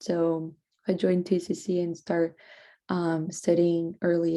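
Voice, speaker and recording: Against a quiet background, a woman with a Portuguese accent speaks at a fairly slow pace, her fairly low voice dark and mellow in tone. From Brazil. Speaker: student. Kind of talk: class presentation. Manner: halting.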